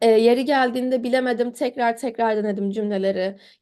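Her voice is high-pitched, with a dark, mellow tone. The woman is heard against a quiet background. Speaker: medical student. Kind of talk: interview.

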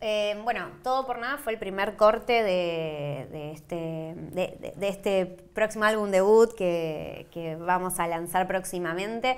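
Speaking very slowly with hardly any pauses, a woman talks at a medium pitch. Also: ordinary pitch variation. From Argentina. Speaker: cumbia singer; interviewee. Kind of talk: interview. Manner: halting, many fillers and repetitions. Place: studio.

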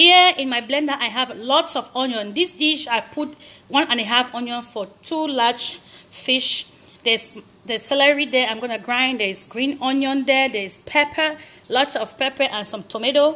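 Her voice raised and projected, a woman speaks at a moderate pace with a bright, sharp tone and ordinary pitch variation. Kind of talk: cooking tutorial. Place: kitchen. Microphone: phone near.

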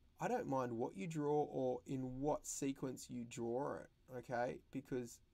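Fairly even intonation runs through this plain reading aloud.

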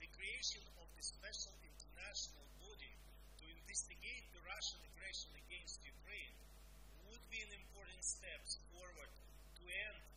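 A man talks at a moderate pace. Loud background noise surrounds his voice. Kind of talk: formal address. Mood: serious, earnest. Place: office.

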